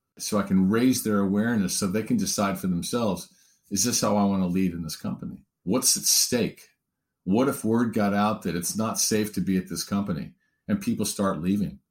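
In a very clean recording with a silent background, a man talks in a normal speaking voice, fairly low in pitch, with ordinary pitch variation. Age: 50s. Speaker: diversity consultant and author. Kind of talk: interview.

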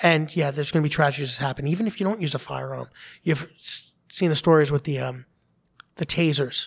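In a New York accent, a man talks at a fairly quick pace and a fairly high pitch with ordinary pitch variation, on a very clean recording with a silent background. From Staten Island, New York. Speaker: police officer, advocacy group founder. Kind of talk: interview.

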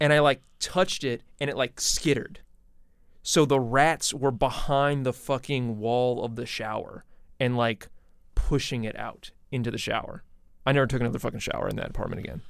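This man has a plain, everyday voice at medium pitch. He keeps a moderate pace and fairly even intonation. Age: 30s. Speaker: podcaster. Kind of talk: casual chat.

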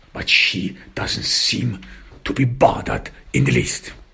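This man's voice sits fairly low, with vocal fry and a bright, sharp tone. He speaks slowly, and his pitch swings widely.

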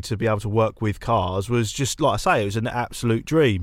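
A man with an English accent is speaking. His pace is very fast. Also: very clean recording, silent background. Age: 30s. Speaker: car content creator. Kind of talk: casual chat.

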